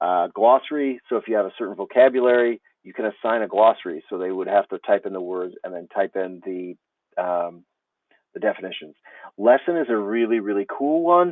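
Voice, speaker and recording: A man's plain, everyday voice, fairly low in pitch, with lively intonation and a fairly quick pace, dry with no echo over a quiet background. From United States. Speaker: teacher trainer. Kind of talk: tutorial. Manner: casual, with fillers.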